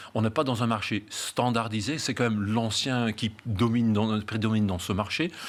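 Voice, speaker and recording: Hardly pausing, a man speaks with a slight Belgian accent. His intonation stays fairly even. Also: medium pitch for a man, moderate pace. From Flanders, Belgium. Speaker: real estate agency founder. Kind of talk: interview. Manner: halting, many fillers and repetitions.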